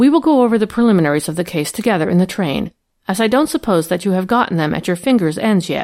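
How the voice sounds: A natural reading voice with lively intonation sounds over a quiet background.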